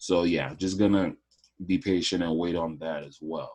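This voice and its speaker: Speaking at a moderate pace, a man uses a very deep, low voice with fairly even intonation. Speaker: forex trading analyst. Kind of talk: screen-share trading tutorial. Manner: casual, hesitant with fillers.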